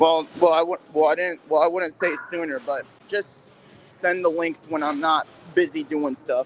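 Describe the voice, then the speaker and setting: A man talks with fairly even intonation and a moderate pace while noticeable background noise plays behind him. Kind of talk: casual chat. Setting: in public, at a gym. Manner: halting.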